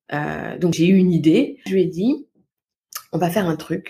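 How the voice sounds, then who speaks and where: A somewhat breathy female voice with a dark, mellow tone at a moderate pace. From Paris region, France (Val-de-Marne). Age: 30s. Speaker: parenting coach. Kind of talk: interview. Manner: soft-spoken.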